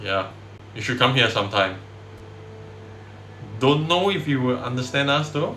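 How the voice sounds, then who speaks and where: With a strong Singaporean accent, a man speaks at a moderate pace with a medium pitch and lively intonation. Long, frequent pauses break his speech, and room echo is audible. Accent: thick Singaporean. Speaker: indie game developer streamer. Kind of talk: casual dev livestream chat. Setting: livestream on camera.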